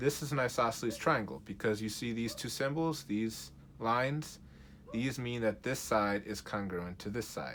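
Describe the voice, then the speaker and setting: This is an ordinary speaking voice. A man talks at a moderate pace and medium pitch, with lively intonation. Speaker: math teacher. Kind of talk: tutorial.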